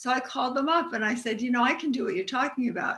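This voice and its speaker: Her tone bright and sharp, a woman speaks at a high pitch. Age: 60s. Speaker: author and business psychic. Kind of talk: interview.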